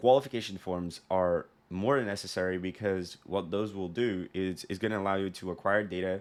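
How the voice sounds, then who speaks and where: Speaking at a moderate pace, a man has a very deep, low pitch. His pitch variation is ordinary. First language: not English. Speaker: sales consultant. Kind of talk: tutorial. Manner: casual, conversational with fillers.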